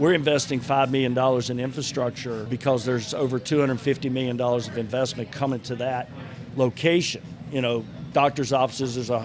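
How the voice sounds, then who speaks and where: Here a man speaks at a moderate pace with medium pitch. His intonation stays fairly even. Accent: Southern US. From North Carolina, Gaston County area. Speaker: mayor and bar owner. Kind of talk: casual chat. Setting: bar/restaurant venue.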